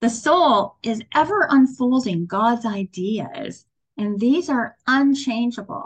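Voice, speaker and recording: Speaking at a very slow pace, a woman uses a fairly high pitch with very wide pitch swings. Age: 60s. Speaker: spiritual teacher. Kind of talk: sermon.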